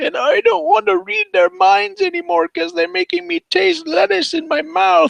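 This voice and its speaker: In a put-on character voice, the speaker goes at a fairly high pitch with hardly any pauses. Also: moderate pace. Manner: comically strange.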